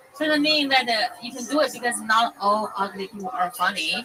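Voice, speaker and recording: A woman projects her voice with lively intonation. Noticeable background noise is heard behind her. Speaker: amateur comedian. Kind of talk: casual chat. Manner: halting.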